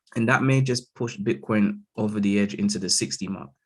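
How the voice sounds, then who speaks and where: Against a quiet background, a man with a London accent speaks at a fairly low pitch. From London, England. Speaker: crypto market analyst. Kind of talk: live chart analysis stream. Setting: live stream over Zoom. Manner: casual, frequent fillers like okay and all right.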